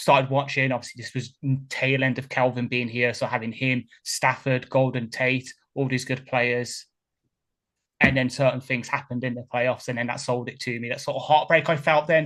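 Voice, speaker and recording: Against a quiet background, a man with a Birmingham accent speaks in monotone, flat intonation at medium pitch and a moderate pace. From England, Birmingham. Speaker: podcast host, football fan. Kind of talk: casual chat.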